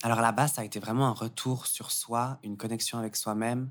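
A man speaks at a moderate pace and medium pitch in a monotone, flat way. The recording is very clean with a silent background. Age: 20s. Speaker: yoga teacher and gender studies student. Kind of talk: casual interview.

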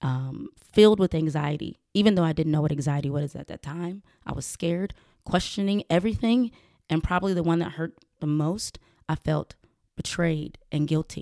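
A woman with a Georgia accent speaks in a very deep, low voice, recorded very cleanly against a silent background with a dry, close sound and no echo. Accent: Southern US, Georgia. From US South, rural south Georgia. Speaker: podcast host and professional boxer. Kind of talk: personal monologue, casual.

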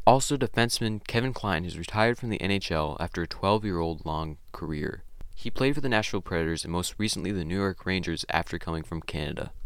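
A man with a very deep, low voice talks at a very fast pace with lively intonation and hardly any pauses, recorded very cleanly against a silent background. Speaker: podcast host. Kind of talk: sports news reading. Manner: brisk, clipped headline-style delivery.

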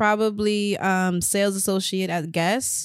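A woman's voice moves at a moderate pace in a very clean recording where the background is silent. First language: Spanish. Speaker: podcast co-host. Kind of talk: casual chat.

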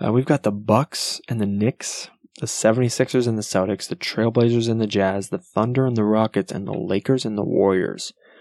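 A soft-spoken man at medium pitch, talking at a fairly quick pace with hardly any pauses, quiet background. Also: ordinary pitch variation. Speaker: sports podcast host. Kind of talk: solo sports talk podcast. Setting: at home at night. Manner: quiet, soft-spoken.

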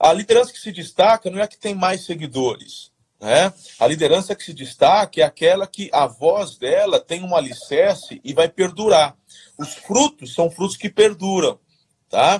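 In a dry, close sound with no echo, a man with a high pitch and lively intonation speaks at a moderate pace, his loudness swinging widely. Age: 40s. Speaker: pastor. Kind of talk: casual interview on leadership. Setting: livestream.

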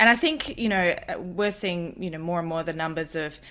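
This woman has a normal speaking voice. Her pitch is fairly low, with ordinary pitch variation. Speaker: podcast host. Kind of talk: interview, intro reading.

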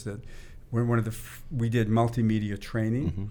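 With an American accent, a man talks in a plain, everyday voice, fairly low in pitch and fairly even in intonation. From US Northeast, Boston area. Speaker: venture capitalist. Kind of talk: interview conversation.

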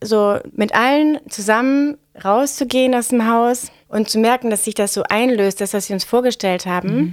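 In an ordinary speaking voice, a woman talks at a moderate pace. Her pitch is fairly high, with ordinary pitch variation. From northern Germany, Bremen. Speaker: stage designer. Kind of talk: casual chat.

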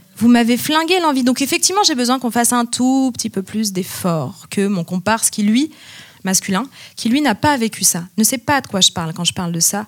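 With an unremarkable speaking voice, a woman talks at a moderate pace, her fairly high pitch moving in lively intonation. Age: 30s. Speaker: music teacher and researcher. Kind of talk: panel discussion. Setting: stage with audience.

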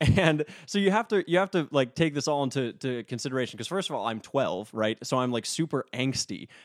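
A man with an American accent at a fairly high pitch, fairly quick and with hardly any pauses, lively intonation, and a dry, close sound with no echo on a very clean recording with a silent background. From North Dakota (Minot), US Upper Midwest. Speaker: composer and music theory doctoral student. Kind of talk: casual interview conversation. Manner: animated, laughs often.

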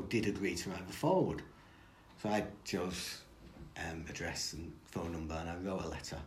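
Audible room echo carries a man's very deep, low voice. It is somewhat breathy, with ordinary pitch variation. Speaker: football historian. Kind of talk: interview.

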